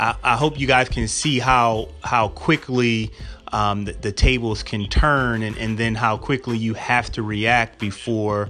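With an unremarkable speaking voice, a man talks at a medium pitch and with fairly even intonation. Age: 40s. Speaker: podcast host and physician. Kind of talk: casual solo podcast talk.

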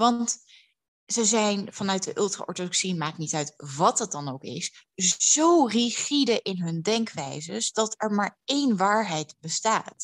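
Against a quiet background, a woman speaks at a very slow pace with very wide pitch swings, in a dry, close sound with no echo. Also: medium pitch for a woman. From Netherlands, Amsterdam. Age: 30s. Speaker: public speaker and writer. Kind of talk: interview. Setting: at home.

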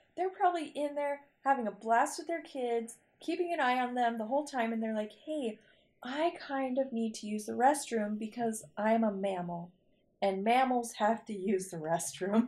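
A woman speaks at a moderate pace in a plain, everyday voice. Her pitch sits fairly high, with lively intonation. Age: 30s. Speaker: podcast host, mom. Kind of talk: casual chat.

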